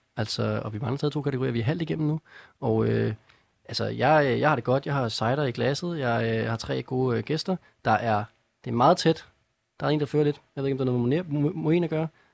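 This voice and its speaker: A man with a plain, everyday voice talks at a fairly quick pace, at medium pitch with ordinary pitch variation. The sound is dry and close with no echo, in a very clean recording with a silent background. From North Zealand, Denmark. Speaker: radio music quiz host. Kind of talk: casual chat. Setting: studio.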